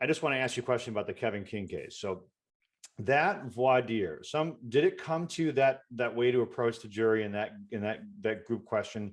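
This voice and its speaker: A man with an American accent and a plain, everyday voice talks at a moderate pace, medium in pitch with ordinary variation. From Detroit, Michigan. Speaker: podcast host, criminal defense lawyer. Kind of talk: podcast interview.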